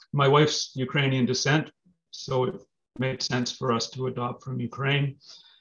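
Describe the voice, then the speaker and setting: Speaking at a moderate pace, a man with a Canadian accent has a medium pitch. His voice is somewhat breathy. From Manitoba, Canada (Brandon). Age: 50s. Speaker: lawyer and political candidate. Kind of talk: interview.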